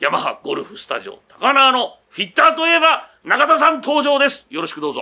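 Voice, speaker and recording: The voice is raised and projected, bright and sharp in tone, moving at a fairly quick pace with hardly any pauses, big swings in loudness and ordinary pitch variation. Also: man, extremely high pitch for a man. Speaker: radio host. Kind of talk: casual chat. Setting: on location at a golf studio.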